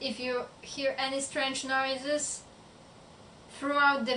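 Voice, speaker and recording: A woman with a non-native accent uses a raised, projected voice at a high pitch, with a bright, sharp tone. She speaks at a very slow pace with fairly even intonation. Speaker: book vlogger. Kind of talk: casual talk to camera.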